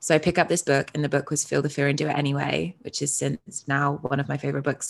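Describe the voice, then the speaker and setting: This woman talks at a fairly quick pace in a British accent, with vocal fry and a very deep, low pitch. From UK. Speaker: identity coach. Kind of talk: casual interview.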